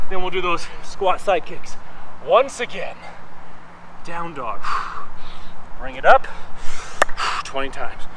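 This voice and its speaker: Over noticeable background noise, a man with a high pitch speaks at a very slow pace with lively intonation and long, frequent pauses. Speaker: fitness instructor. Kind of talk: guided workout class, cueing yoga flows and reps in real time. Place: garden.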